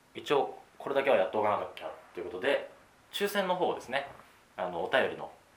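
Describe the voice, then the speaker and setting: Over noticeable background noise and audible room echo, a man speaks at a fairly quick pace with big swings in loudness. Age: 20s. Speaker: podcast host. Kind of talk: casual chat.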